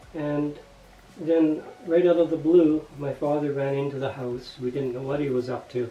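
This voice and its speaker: Over music in the background, a man with a fairly high pitch talks at a moderate pace and with fairly even intonation. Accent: Canadian. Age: 60s. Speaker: retiree. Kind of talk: personal testimony.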